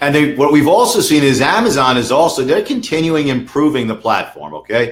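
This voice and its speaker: Fairly quick and lively, a man with a New York accent speaks at a fairly high pitch. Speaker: lawyer for online sellers. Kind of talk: webinar interview.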